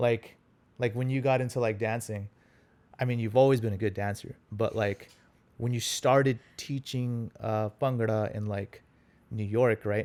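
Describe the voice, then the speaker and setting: A man in a Punjabi accent talks at a fairly slow pace with a medium pitch. His intonation is monotone and flat, in a very clean recording with a silent background. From US, Los Angeles (born in India, moved as small child). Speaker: consultant, relationship guest. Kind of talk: casual interview chat.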